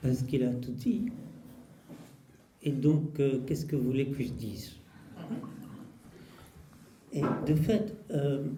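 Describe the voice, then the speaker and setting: Speaking very slowly with a Russian accent, a man uses a fairly high pitch with ordinary pitch variation and big swings in loudness. Long, frequent pauses break up his speech, and audible room echo surrounds him. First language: Russian (speaking French). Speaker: poet and translator. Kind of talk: public talk.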